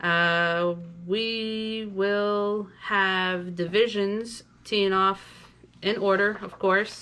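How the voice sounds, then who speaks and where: The voice is loud, with a bright, sharp tone. Intonation stays fairly even. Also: woman. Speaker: tournament director. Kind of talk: player's meeting briefing. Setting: virtual player's meeting video.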